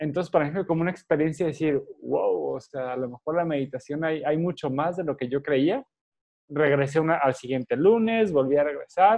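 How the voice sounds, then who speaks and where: This man has a normal speaking voice, fairly high in pitch. He talks at a fairly quick pace with ordinary pitch variation. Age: 30s. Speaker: meditation teacher. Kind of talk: interview.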